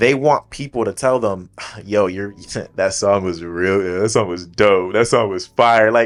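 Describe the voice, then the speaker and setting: A plain, everyday voice belongs to a man speaking fairly slowly at a fairly low pitch with ordinary pitch variation. The recording is very clean, with a silent background. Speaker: church youth podcast co-host. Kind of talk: casual chat.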